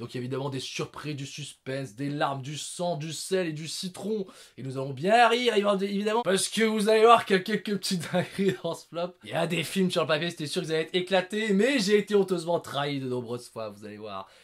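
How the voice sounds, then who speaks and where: Against noticeable background noise, a man speaks at a fairly quick pace and high pitch, with lively intonation and big swings in loudness. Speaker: film reviewer, video creator. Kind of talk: casual monologue, top-list film review. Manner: animated, loud.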